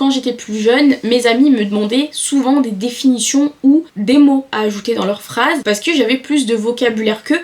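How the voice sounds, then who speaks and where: Over noticeable background noise, a woman with a high-pitched voice talks at a moderate pace with ordinary pitch variation. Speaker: self-improvement YouTuber. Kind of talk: talking-head advice video.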